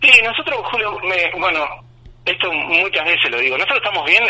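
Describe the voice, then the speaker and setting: The speaker is a man at a moderate pace. Background noise is noticeable throughout. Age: 40s. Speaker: police chief. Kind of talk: radio interview. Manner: halting.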